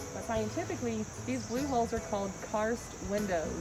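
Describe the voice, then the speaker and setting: There is loud background noise. Over it, a woman talks. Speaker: tour guide. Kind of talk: guided tour talk. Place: forest. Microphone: camera far.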